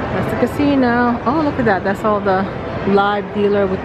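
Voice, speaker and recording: Background music plays. Over it, a woman talks. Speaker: travel vlogger. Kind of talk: casual vlog chat. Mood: excited, admiring. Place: hall. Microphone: phone near.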